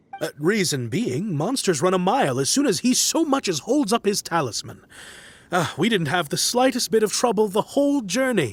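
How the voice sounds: Doing a put-on character voice, a man speaks at a moderate pace in a high pitch with big pitch swings and a slightly husky edge.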